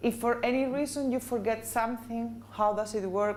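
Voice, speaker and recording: A woman's normal speaking voice, fairly high-pitched, at a moderate pace with fairly even intonation. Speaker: corporate trainer. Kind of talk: training presentation. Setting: business meeting with audience.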